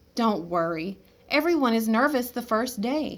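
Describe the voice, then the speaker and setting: A woman performs a put-on character voice with lively intonation and a fairly high pitch. She keeps a moderate pace in a very clean recording with a silent background. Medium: read story. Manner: gushing.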